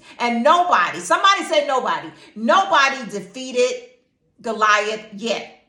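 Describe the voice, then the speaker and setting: A woman's fairly high-pitched voice with very wide pitch swings, at a fairly slow pace, in audible room echo. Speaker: teacher and Bible devotional speaker. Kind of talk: informal Bible devotional talk. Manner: animated, stuttering when excited.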